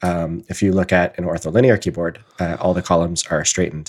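Very fast, monotone speech from a man with a Canadian accent and a very deep, low pitch, on a very clean recording with a silent background. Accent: Canadian, noticeable 'about'. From southern Ontario, Canada. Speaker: podcast host.

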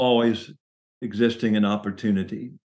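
This man has a fairly low pitch. He speaks with a Southern US accent. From US South, Chattanooga, Tennessee. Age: 60s. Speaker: minister and business consultant. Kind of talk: interview about faith and career.

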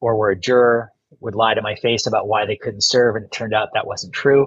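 Speaking with an American accent, this man's voice stays at a medium pitch. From US Midwest, northeast Ohio. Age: 50s. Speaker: lawyer and former judge. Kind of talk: casual interview.

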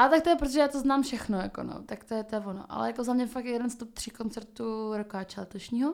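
A woman talks at a very fast pace with hardly any pauses. Her loudness swings widely. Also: ordinary pitch variation. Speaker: podcast co-host. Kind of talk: casual chat. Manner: fast, halting.

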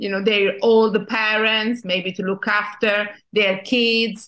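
Speaking at a very slow pace with an Italian accent, a woman has a bright, sharp tone and fairly even intonation. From Italy. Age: 50s. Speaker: journalist and magazine founder. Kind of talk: interview. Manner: halting.

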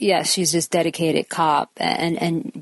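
Heard in a dry, close recording with no echo, a woman with a fairly low pitch and an ordinary speaking voice talks at a moderate pace. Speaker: actress. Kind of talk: casual chat.

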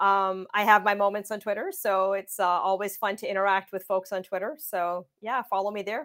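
A woman with a Canadian accent and a normal speaking voice talks at a moderate pace with hardly any pauses, her medium-pitched delivery fairly even in intonation. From Windsor, Ontario, Canada. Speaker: tech company co-founder and CTO. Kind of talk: interview.

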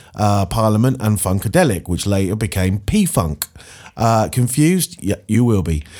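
On a very clean recording with a silent background, a man with a normal speaking voice and a fairly low pitch talks at a moderate pace. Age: 40s. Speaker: radio DJ. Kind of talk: radio show presenting. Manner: casual with frequent fillers.

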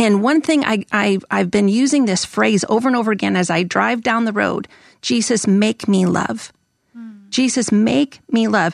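A woman speaks in a normal speaking voice at a medium pitch and moderate pace. Her loudness stays very even against a quiet background. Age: 50s. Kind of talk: podcast interview with read-aloud passages. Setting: studio.

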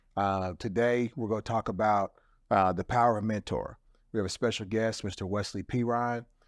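A man speaks in an ordinary speaking voice at medium pitch. The recording is very clean, with a silent background. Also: dry, close sound with no echo. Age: 50s. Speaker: podcast host and minister. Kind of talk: show intro; casual chat.

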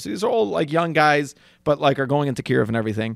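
A man talks at a very fast pace with vocal fry. The sound is dry and close with no echo, on a very clean recording with a silent background. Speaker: podcast co-host, addiction counselor. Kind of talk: casual banter.

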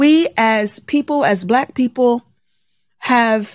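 A woman speaks very slowly in a high voice with an American accent. Her pitch swings very widely. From Baltimore, Maryland, US. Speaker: journalist, podcaster and military veteran. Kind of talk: interview. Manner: animated.

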